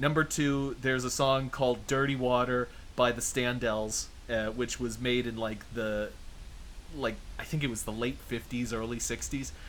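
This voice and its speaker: The speaker has a North American accent, fairly even intonation and a moderate pace. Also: man, medium pitch for a man. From southern New Hampshire, Boston area. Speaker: VTuber interviewer. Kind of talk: interview. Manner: hesitant with fillers.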